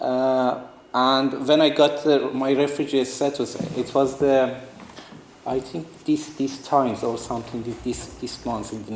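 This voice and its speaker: A man speaks at a fairly slow pace with fairly even intonation. Noticeable background noise runs beneath him. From northeastern Iran. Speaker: artist and refugee. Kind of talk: talk to students. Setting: talk to a student audience. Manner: halting, many fillers and restarts.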